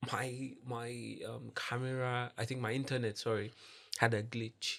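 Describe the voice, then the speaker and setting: At a fairly slow pace, a man talks with a medium pitch and a monotone, flat intonation. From Nigeria. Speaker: social entrepreneur. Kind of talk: podcast interview. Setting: podcast. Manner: casual, filler-heavy speech.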